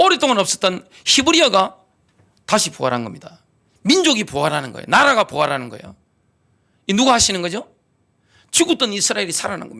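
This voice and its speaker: A man with a high pitch uses a raised, projected voice and a bright, sharp tone, talking at a very fast pace with long, frequent pauses, very wide pitch swings, and big swings in loudness. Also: very clean recording, silent background. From Gyeongsang, South Korea. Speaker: pastor. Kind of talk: sermon. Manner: animated.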